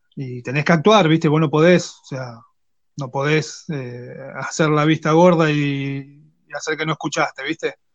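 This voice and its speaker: A fairly high-pitched man with an Argentine accent, at a fairly slow pace and with fairly even intonation. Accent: Rioplatense Argentine Spanish. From Argentina, Quilmes (Greater Buenos Aires). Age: 30s. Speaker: technical school teacher and woodworker. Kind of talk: casual interview chat.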